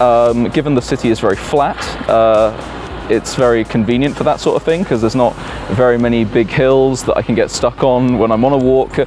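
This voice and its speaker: A man with a British accent and medium pitch, fairly quick pace, fairly even intonation and very even loudness, with music in the background. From UK. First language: Italian. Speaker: English teacher. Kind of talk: interview answers. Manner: hesitant, many fillers.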